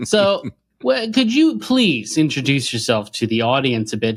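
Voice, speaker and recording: With an American accent, a man speaks at a fairly high pitch with very wide pitch swings. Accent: retains his. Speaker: podcast host, history lecturer. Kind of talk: casual interview chat.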